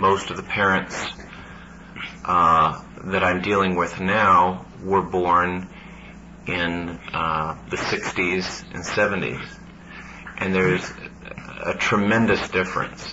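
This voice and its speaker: Over noticeable background noise and audible room echo, a man with a very deep, low pitch speaks at a very slow pace with fairly even intonation and long, frequent pauses. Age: 40s. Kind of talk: panel discussion.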